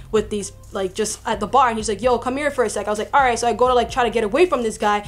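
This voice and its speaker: A woman talks with ordinary pitch variation while faint music plays in the background. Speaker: vlogger. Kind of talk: casual vlog chat, storytelling. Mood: indignant, recounting harassment.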